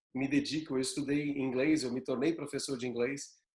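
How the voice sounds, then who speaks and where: Speaking at a very fast pace, a man keeps a medium pitch and a monotone, flat intonation. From São Paulo interior, Bauru. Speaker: yoga teacher and aromatherapy guest. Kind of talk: casual chat.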